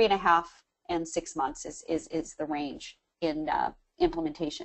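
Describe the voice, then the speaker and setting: A woman with a normal speaking voice talks at a fairly slow pace and a fairly low pitch. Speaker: webinar presenter. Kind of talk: webinar Q&A.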